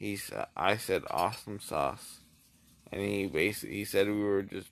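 With vocal fry and a very deep, low pitch, a man speaks in a dry sound with no echo. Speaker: vlogger. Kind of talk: casual vlog chat. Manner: slurred, drowsy post-anesthesia speech. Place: home room. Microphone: phone near.

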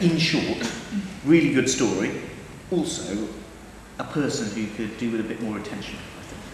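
Amid light background noise and audible room echo, a man speaks at a moderate pace with lively intonation, big swings in loudness, and long, frequent pauses. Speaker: theatre director. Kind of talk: interview talk. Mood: warm and amused. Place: empty room.

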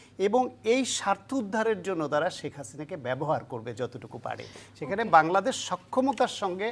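A woman's medium-pitched voice with very wide pitch swings and big swings in loudness. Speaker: political analyst. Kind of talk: interview. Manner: halting.

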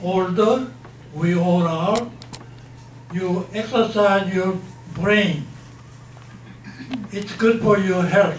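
A man speaks at a high pitch. Light background noise and audible room echo surround his voice. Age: 80s+. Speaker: retired professor. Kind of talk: lecture to an audience. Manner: unscripted, no notes. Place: hall.

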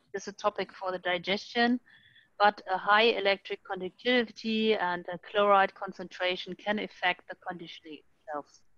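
A woman speaks at a medium pitch and moderate pace, with a bright, sharp tone and fairly even intonation. The sound is dry and close with no echo, and her loudness swings a lot. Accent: German. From Germany. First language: German. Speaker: sludge treatment expert. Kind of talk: technical panel Q&A answers. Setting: video call webinar. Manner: halting, searches for words.

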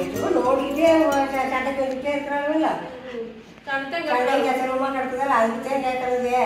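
Strong room echo and noticeable background noise surround the recording. A woman speaks at a high pitch with fairly even intonation. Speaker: grandmother in a comedy skit. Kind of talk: comedy skit dialogue. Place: home room. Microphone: camera far.

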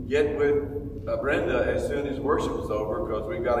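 A man amid noticeable background noise and audible room echo. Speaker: pastor. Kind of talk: prayer then announcements. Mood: earnest prayer, then relaxed. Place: hall. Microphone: camera far.

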